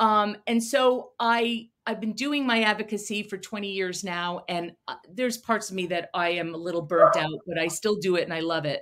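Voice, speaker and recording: A woman with an American accent talks at a moderate pace with hardly any pauses and ordinary pitch variation. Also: medium pitch for a woman. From Connecticut, Fairfield County. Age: 60s. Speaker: special education advocate. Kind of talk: podcast interview.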